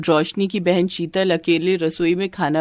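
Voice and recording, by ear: A woman's voice at a moderate pace, fairly low in pitch.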